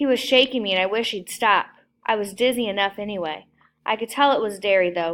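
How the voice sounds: Ordinary pitch variation in a natural reading voice, with a quiet background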